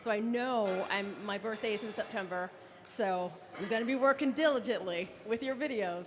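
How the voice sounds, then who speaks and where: A woman's fairly high voice carries an audible room echo. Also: ordinary pitch variation, moderate pace. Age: 50s. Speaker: audience member asking question. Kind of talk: audience question.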